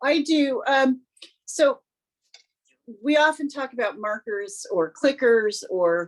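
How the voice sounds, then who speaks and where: The voice moves at a very slow pace. Its intonation is lively. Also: woman. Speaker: service dog handler. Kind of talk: group chat. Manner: halting, pauses to find words.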